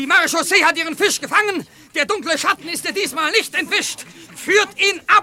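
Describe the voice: A man's put-on character voice, extremely high and bright, sharp in tone, with ordinary pitch variation at a fairly quick pace.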